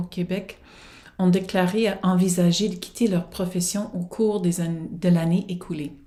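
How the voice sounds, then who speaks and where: A somewhat breathy woman's voice in an English accent, with a dark, mellow tone, fairly even intonation and audible room echo. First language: English (speaking French). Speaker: professor and researcher. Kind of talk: prerecorded conference presentation. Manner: formal.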